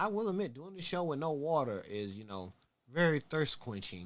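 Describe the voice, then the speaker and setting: Speaking at a moderate pace with an American accent, a man uses a fairly high pitch. His tone is animated, and his pitch swings very widely. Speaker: sneaker talk show host. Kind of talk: casual livestream talk show. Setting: livestream on Twitch.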